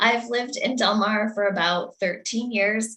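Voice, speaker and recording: Fairly high in pitch, a woman speaks with an American accent and a bright, sharp tone. Her pace is moderate and her intonation fairly even. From US Northeast. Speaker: election candidate. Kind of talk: candidate statement. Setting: video call.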